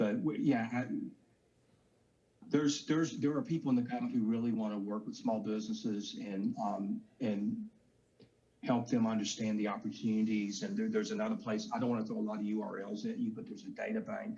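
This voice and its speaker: A fairly quick delivery in a Southern US accent. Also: man. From US South. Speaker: government contracting official. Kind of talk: panel discussion.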